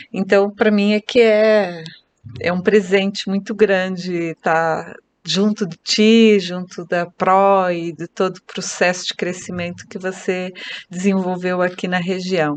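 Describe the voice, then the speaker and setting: A woman's flat, monotone delivery unfolds at a very slow tempo. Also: medium pitch for a woman. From Brazil, Curitiba (Paraná). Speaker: real estate agent and team leader. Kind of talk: podcast interview.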